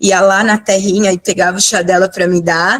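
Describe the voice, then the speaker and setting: Her intonation stays monotone and flat. The woman's voice sits at a medium pitch. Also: dry, close sound with no echo. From São Paulo, Perus district. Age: 50s. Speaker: biomedical scientist and cannabis educator. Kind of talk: talk/presentation with slides. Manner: emotional, close to tears.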